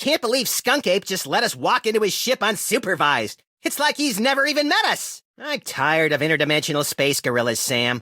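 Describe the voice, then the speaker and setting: A man's cartoonish character voice, raised and projected, at a moderate pace. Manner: wisecracking, gleefully destructive.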